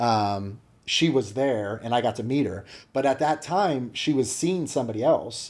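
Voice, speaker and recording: A man with an American accent speaks at a moderate pace and medium pitch, his intonation lively, in a very clean recording with a silent background. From US Midwest, small-town Ohio. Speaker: business owner. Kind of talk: casual interview chat.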